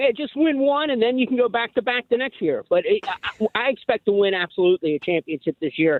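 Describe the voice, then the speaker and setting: With a Philadelphia accent, the speaker moves at a fairly quick pace with hardly any pauses and very wide pitch swings. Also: man, extremely high pitch for a man. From Philadelphia area. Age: 60s. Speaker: caller. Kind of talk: call-in to sports radio. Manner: halting.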